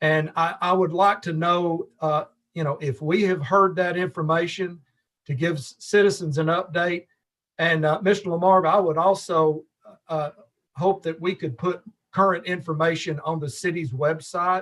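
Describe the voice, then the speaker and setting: This man has a Tennessee accent and a high pitch. He talks at a moderate pace with fairly even intonation. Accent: Southern US (Tennessee). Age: 60s. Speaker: alderman. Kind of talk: council meeting question.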